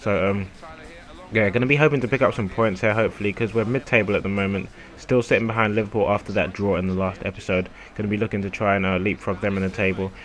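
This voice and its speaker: A man talks at a very fast pace, his voice fairly low with fairly even intonation. Noticeable background noise can be heard. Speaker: gaming youtuber. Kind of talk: gameplay commentary. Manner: casual, hesitant with fillers.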